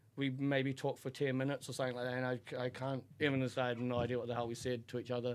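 With a New Zealand accent, a man talks at a very fast pace in a flat monotone at medium pitch, with hardly any pauses. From New Zealand, Auckland. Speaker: podcast guest, host's best friend. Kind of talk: casual chat, personal story.

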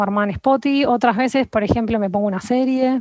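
Talking at a very fast pace, a woman with a high pitch and ordinary pitch variation is heard in a dry, close sound with no echo. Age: 30s. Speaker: nutritionist. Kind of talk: interview conversation.

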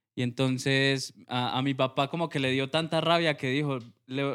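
A man in a Huila Colombian accent speaks with fairly even intonation. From Colombia, Huila. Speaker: music producer and sound engineer. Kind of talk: casual interview.

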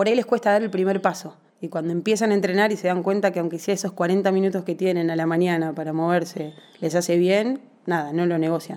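Over noticeable background noise, a woman talks very fast at a medium pitch with fairly even intonation. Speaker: personal trainer and physical education teacher. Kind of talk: interview.

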